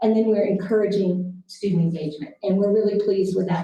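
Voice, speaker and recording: A woman speaks in a dark, mellow tone that is somewhat breathy. Audible room echo surrounds the voice. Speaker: school district administrator. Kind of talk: board meeting presentation.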